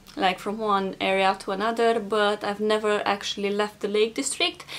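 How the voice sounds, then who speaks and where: A woman with a Romanian accent talks at a moderate pace. Her pitch is fairly high. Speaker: vlogger. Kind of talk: casual vlog talk.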